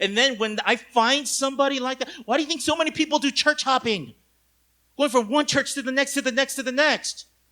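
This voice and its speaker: A man talks in an extremely high, bright and sharp voice, raised and projected. His tone is animated and intense, and his pace is fairly quick. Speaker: pastor. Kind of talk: sermon. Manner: intense, sounds angry.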